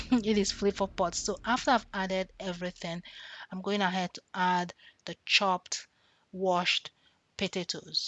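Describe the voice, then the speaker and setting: With a Nigerian accent, a woman speaks at a moderate pace and medium pitch, her intonation fairly even, her loudness swinging a lot, and her pauses long and frequent. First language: Nigerian language. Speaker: cooking vlogger. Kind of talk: tutorial.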